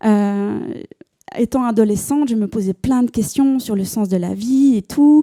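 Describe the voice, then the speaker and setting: A woman with a Swiss accent, fairly high in pitch, dark and mellow in tone, fairly slow, with ordinary pitch variation and a dry, close sound free of echo. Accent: Neuchâtel Swiss French. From Switzerland, Neuchâtel. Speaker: church member giving testimony. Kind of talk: testimony. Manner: hesitant, many fillers and repetitions.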